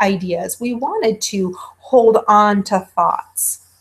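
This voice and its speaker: A woman speaks in a somewhat breathy voice. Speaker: college instructor. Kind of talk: lecture.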